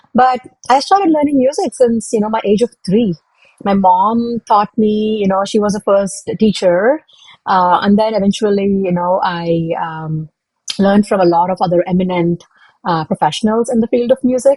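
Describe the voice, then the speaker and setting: A woman's somewhat breathy, dark and mellow voice at a medium pitch, with a Tamil accent, ordinary pitch variation and a moderate pace, in dry, close sound with no echo. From South India, Hyderabad. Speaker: product manager and public speaker. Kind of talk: interview.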